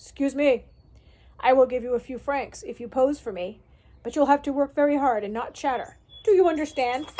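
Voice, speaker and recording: A woman does a put-on character voice, high-pitched and gruff. She talks at a fairly quick pace. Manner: stern, brusque.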